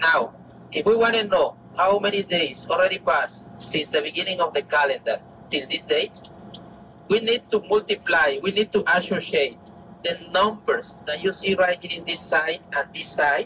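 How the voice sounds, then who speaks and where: A man with a Mesoamerican accent, high-pitched, at a moderate pace with ordinary pitch variation, over noticeable background noise. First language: Maya. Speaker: tour guide. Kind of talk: guided tour explanation.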